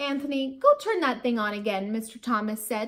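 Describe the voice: The speaker simply reads aloud in a plain way.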